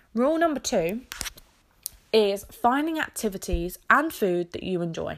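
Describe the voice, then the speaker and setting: A woman with an English accent speaks at a fairly high pitch. Her pitch swings very widely at a moderate pace. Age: 20s. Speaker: podcast host. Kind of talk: casual solo chat.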